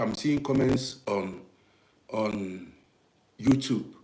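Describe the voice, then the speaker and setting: A man with an African accent and lively intonation, plus audible room echo. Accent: African English accent, natural. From Nigeria. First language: Nigerian native language. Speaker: live streamer, commentator on African affairs. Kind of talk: live stream talk to viewers. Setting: live broadcast on social media. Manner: repetitive, conversational; deliberate, not rushing.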